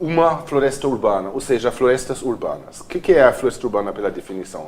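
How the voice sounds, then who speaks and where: Over noticeable background noise, a man talks at a very fast pace. His pitch is medium and his intonation lively. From Germany, Cologne. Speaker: architect and urban planner. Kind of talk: TV interview.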